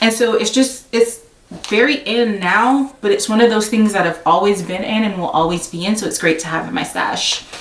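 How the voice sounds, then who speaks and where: Through noticeable background noise, a woman talks at a fairly high pitch with hardly any pauses. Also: ordinary pitch variation. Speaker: sewing vlogger. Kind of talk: haul video tutorial-style chat. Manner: fast; casual with many fillers.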